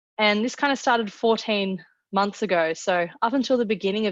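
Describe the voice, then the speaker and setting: Against a quiet background, a woman with an Australian accent speaks at a fairly quick pace with ordinary pitch variation, her sound dry and close with no echo. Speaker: product manager. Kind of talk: webinar presentation. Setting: online webinar.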